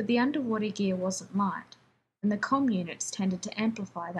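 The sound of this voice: With ordinary pitch variation, an unforced reading voice comes through against a quiet background.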